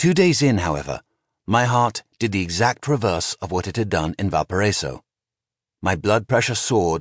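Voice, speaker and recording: A man speaks at a moderate pace in a plain, everyday voice, fairly low in pitch, with lively intonation. The sound is dry and close with no echo, over a quiet background. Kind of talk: audiobook narration, first-person memoir reading. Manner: even, measured storytelling pace with dry, wry understatement.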